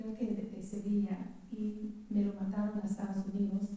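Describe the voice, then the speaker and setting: A woman with a fairly high voice speaks fairly slowly. There is audible room echo and noticeable background noise. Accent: English. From California, US. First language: English (speaking Spanish). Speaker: relative of the novel's protagonist. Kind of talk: public talk at book presentation. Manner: halting.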